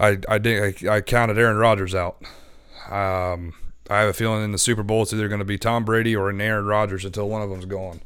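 With an American accent, a man speaks very fast in a flat monotone, his pitch fairly low. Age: 20s. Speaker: sports podcast co-host. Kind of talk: casual sports talk. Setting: remote call over Skype.

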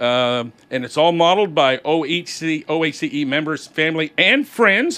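A man with an American accent has an unremarkable speaking voice at a fairly high pitch. His intonation is lively against a quiet background. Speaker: radio host. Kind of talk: casual radio call-in chat.

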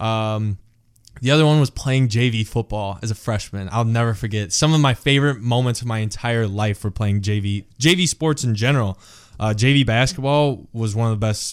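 An ordinary speaking voice with an American accent moves at a moderate pace with ordinary pitch variation on a very clean recording with a silent background. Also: man. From Big Rapids, Michigan, US. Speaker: former college football player. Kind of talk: casual interview chat.

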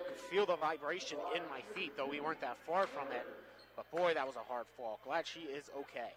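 A fairly quick voice with an American accent, ordinary pitch variation, and noticeable background noise. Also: man, fairly high pitch for a man. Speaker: color commentator. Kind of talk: live commentary. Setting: courtside at a high school gym.

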